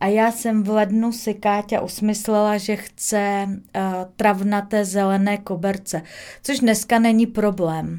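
A woman speaks fairly slowly in a dark, mellow tone. Her intonation stays monotone and flat. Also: medium pitch for a woman. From Moravia, Czech Republic (Rožnov pod Radhoštěm). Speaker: photo shoot producer. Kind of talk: casual interview chat.

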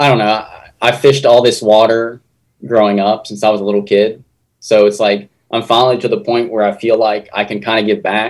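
This man talks at a fairly quick pace in a medium pitch, with fairly even intonation and an Appalachian accent. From southern West Virginia. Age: 20s. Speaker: fishing YouTuber. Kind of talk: casual interview. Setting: video call.

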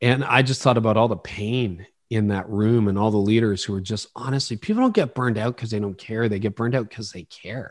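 Speaking with a Canadian accent, a man uses a normal speaking voice at medium pitch, fairly even in intonation and at a fairly quick pace. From Canada, Ontario. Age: 50s. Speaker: pastor and leadership podcaster. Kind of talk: interview conversation.

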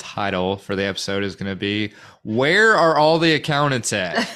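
A man with an American accent, fairly low in pitch, bright and sharp in tone, at a moderate pace. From Central Arkansas, North Little Rock. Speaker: podcast co-host, recruiter. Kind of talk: casual chat.

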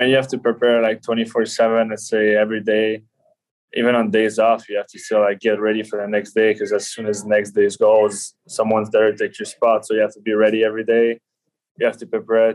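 Speaking with a Quebec accent, a man talks fairly quickly at a medium pitch in a monotone, flat intonation. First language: French. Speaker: professional ice hockey player. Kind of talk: podcast interview.

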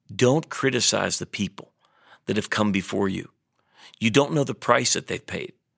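In a very clean recording with a silent background, a man talks at a moderate pace with a medium pitch, ordinary pitch variation and a bright, sharp tone. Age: 50s. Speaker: pastor and leadership podcast host. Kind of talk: devotional teaching monologue.

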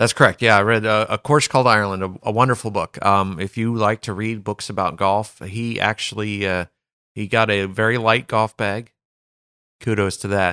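A man's fairly low voice, bright and sharp in tone, at a moderate pace with monotone, flat intonation, in a very clean recording with a silent background and a dry, close sound with no echo. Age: 40s. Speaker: golf caddie and podcast co-host. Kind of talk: casual chat.

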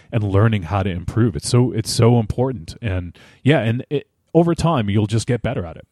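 Man at a fairly low pitch, dark, mellow tone and lively intonation, moderate pace, very clean recording with a silent background, dry and close with no echo. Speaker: podcaster. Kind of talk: casual interview conversation. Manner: halting, many repeated words.

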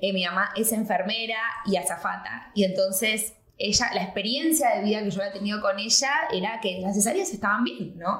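Noticeable background noise and audible room echo surround a woman speaking at a moderate pace in a medium pitch with ordinary pitch variation. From Argentina, raised in Miami. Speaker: actress, journalist and entrepreneur. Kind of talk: casual chat.

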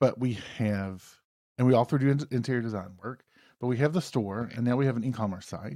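This man has a medium pitch, a dark, mellow tone and a Southern US accent, with ordinary pitch variation. He talks at a fairly quick pace on a very clean recording with a silent background. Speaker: podcast host. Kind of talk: casual banter.

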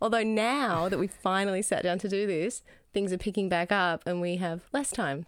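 A woman with an Australian accent, medium pitch, ordinary pitch variation and a moderate pace, very even loudness throughout, on a very clean recording with a silent background. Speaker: podcast co-host. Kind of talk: casual chat.

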